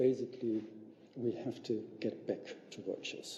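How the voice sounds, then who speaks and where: There is audible room echo around a man with a dark, mellow tone. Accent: German. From Germany. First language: German. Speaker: visiting professor, sociologist. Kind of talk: lecture. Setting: public lecture with audience. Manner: halting, with many fillers.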